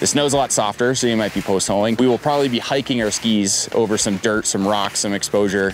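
A man at a very fast pace, with ordinary pitch variation, in a dry sound with no echo and light background noise. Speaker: backcountry ski guide. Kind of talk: tutorial. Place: forest. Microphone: lapel.

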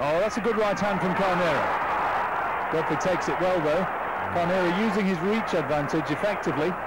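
At a moderate pace, a man with a high pitch speaks over noticeable background noise. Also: very even loudness. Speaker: boxing commentator. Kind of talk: ring commentary. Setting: voiceover over archive fight footage. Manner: measured, crisp play-by-play, rising to urgent excitement at the controversial finish.

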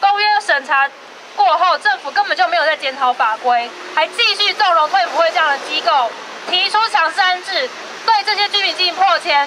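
In a Taiwanese accent, a woman speaks at a moderate pace with an extremely high pitch and a raised, projected voice, over light background noise. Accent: Taiwanese Mandarin. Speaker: human rights advocate. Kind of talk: protest speech. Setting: outdoors. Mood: critical, indignant. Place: street. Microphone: handheld.

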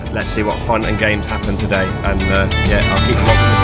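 Clear music sits in the background. A man talks at a fairly quick pace. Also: dry sound with no echo. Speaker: travel vlogger. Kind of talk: casual vlog chat. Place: car. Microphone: phone near.

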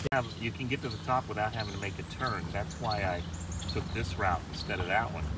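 Amid loud background noise, a man speaks at a moderate pace with ordinary pitch variation, the sound dry with no echo. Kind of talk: casual conversation. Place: car. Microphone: phone near.

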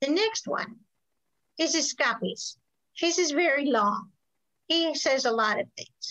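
This woman's high voice has a bright, sharp tone and lively intonation over a quiet background. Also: fairly slow pace. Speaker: historical cooking class teacher; presenter. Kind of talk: lecture. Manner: halting, many ums. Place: kitchen. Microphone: webcam.

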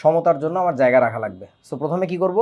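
A man with a normal speaking voice. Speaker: chemistry teacher. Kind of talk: lecture. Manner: casual, conversational.

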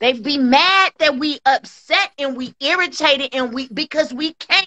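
A woman at a fairly slow pace against a quiet background. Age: 40s. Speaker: livestream co-host. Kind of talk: casual chat. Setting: video call. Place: home room. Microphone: phone near.

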